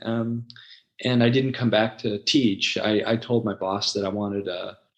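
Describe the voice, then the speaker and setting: In a Californian accent, a man talks at a moderate pace with medium pitch and fairly even intonation against a quiet background. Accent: Californian American English. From Los Angeles, San Fernando Valley. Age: 60s. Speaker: website founder and former ESL teacher. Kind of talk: casual interview conversation. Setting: podcast.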